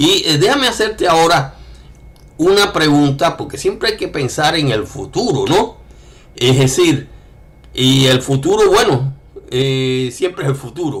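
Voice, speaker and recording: A man with a fairly high pitch speaks with lively intonation, broken by long, frequent pauses. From Cuba. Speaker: writer. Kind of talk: interview conversation. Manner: hesitant, many fillers.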